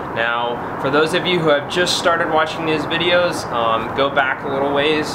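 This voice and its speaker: Over loud background noise, a man talks at a moderate pace with ordinary pitch variation. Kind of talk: casual vlog chat. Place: garage.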